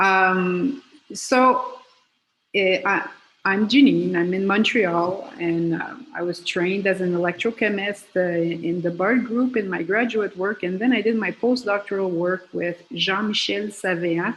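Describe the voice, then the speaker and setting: A woman at medium pitch speaks at a fairly slow pace with ordinary pitch variation. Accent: French. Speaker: professor and electrochemist. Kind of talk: panel discussion opening statement. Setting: video call.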